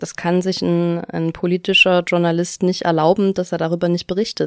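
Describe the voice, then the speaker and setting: In a very clean recording with a silent background and a dry, close sound with no echo, a woman with a plain, everyday voice speaks at a moderate pace, her pitch fairly low and her intonation fairly even. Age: 20s. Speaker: author and former party official. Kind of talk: interview.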